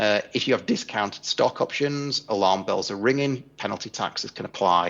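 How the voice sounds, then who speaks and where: A man with an English accent at a moderate pace. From England. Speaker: tax and equity compensation consultant. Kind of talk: conference presentation. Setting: remote video link into conference.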